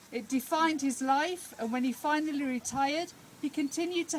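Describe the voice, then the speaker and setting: A woman speaks loudly at a fairly quick pace, her pitch high. Noticeable background noise sits behind her. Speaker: speaker at a village inauguration. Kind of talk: public speech.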